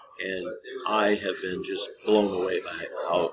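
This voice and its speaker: Against noticeable background noise, a man talks with an American accent. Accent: Midwest accent, still kinda there. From US Midwest, Minnesota. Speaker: trading educator. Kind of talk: tutorial. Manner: casual, conversational.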